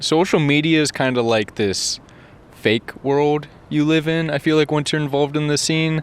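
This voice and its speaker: Fairly high in pitch, a man speaks with very even loudness and fairly even intonation. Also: moderate pace. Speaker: YouTuber. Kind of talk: interview. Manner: monotone.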